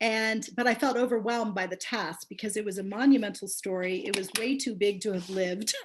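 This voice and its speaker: Using a normal speaking voice, a woman at medium pitch talks at a moderate pace with fairly even intonation. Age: 60s. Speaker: memoir author. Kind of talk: book launch talk. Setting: video call.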